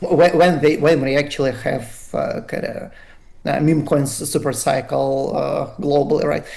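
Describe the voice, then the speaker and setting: A man talks fairly slowly over clearly audible background noise. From Russia. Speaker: radiologist, crypto community member. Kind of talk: podcast interview. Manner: halting, many fillers and repeats.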